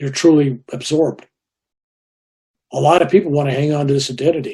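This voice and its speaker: The voice has a dark, mellow tone and is somewhat breathy. It moves at a fairly quick pace with fairly even intonation. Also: man. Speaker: Vietnam War veteran, spiritual teacher. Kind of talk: interview answer.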